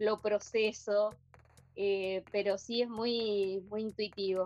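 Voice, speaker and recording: This speaker is a woman. Her intonation is fairly even. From Argentina. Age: 50s. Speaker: poet and textile artist. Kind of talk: interview. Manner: halting.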